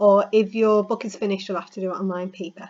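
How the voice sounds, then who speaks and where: A woman speaks over a quiet background. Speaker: school teacher. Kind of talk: recorded lesson feedback. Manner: fast.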